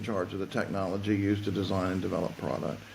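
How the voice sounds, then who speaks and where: A man speaking at a fairly quick pace, with audible room echo. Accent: Southern US. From US South. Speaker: fashion tech consultant. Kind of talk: podcast interview. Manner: halting, repeats words.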